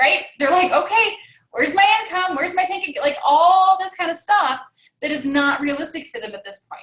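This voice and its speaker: Animated and lively in intonation, a woman speaks at an extremely high pitch, with big swings in loudness. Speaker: fitness business coach. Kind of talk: team training call. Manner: fast.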